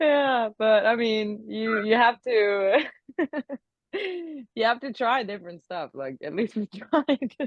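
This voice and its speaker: A woman's very slow delivery, with big swings in loudness and very wide pitch swings. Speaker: rock singer. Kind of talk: interview. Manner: halting, many fillers.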